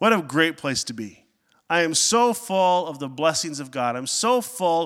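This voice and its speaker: On a very clean recording with a silent background, a man talks in a normal speaking voice, fairly high in pitch. His intonation is lively and his pace fairly slow. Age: 30s. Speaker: pastor. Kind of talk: sermon.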